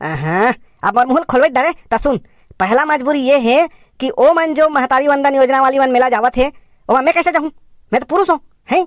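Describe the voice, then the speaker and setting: The speaker uses a cartoonish character voice with a high pitch. The pace is fairly quick, broken by long, frequent pauses. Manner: grumbling, defensive.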